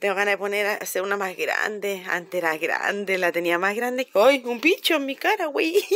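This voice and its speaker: In a Chilean accent, a woman speaks in an animated tone with lively intonation and hardly any pauses, recorded dry with no echo. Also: moderate pace. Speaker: vlogger. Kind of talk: casual vlog talk to camera. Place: garden. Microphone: phone near.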